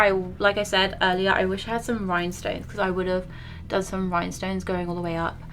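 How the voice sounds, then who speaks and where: A woman with a British accent speaks at medium pitch with music in the background. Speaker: beauty and paranormal YouTuber. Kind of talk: casual makeup tutorial chat. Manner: casual, rambling with fillers.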